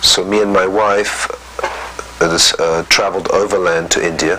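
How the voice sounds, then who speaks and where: Through noticeable background noise, a man's fairly slow speech comes across. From Egypt, then boarding schools in England. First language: French. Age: 60s. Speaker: interviewee telling life story. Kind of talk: interview testimony. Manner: hesitant, many fillers.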